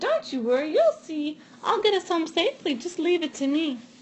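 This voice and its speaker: In a put-on character voice, the speaker sounds squeaky and moves at a moderate pace. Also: woman, extremely high pitch for a woman. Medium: read story. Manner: cocky.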